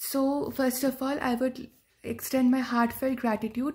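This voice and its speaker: Against a quiet background, a woman with a high pitch speaks at a moderate pace with fairly even intonation. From India, West Bengal. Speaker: agriculture student, exam ranker. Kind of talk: testimonial talk, exam tips. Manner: hesitant, many fillers. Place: home room. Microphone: phone near.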